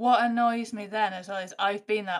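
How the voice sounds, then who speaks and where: A woman with a northern English accent. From northern England. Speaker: comedian. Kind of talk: casual chat.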